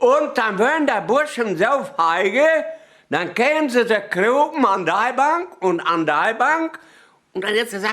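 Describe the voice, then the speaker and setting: Using very wide pitch swings, a man talks at a very slow pace in a Sauerland accent. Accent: Sauerland Low German dialect. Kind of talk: humorous dialect anecdote telling.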